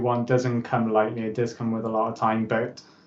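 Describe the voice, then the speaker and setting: A man speaks with a Welsh accent in a monotone, flat intonation. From Wales. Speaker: motivational speaker and author. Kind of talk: interview.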